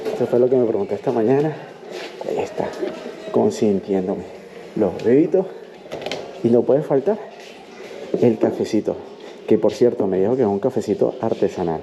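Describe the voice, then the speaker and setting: Over noticeable background noise, a man at medium pitch speaks at a moderate pace, his pitch swinging very widely, with long, frequent pauses. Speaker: travel vlogger. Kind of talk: travel vlog tour. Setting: indoors at a hostel.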